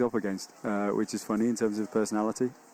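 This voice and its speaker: A man with an English accent, at a very fast pace. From England. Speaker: colour commentator, team manager. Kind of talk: live commentary. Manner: halting.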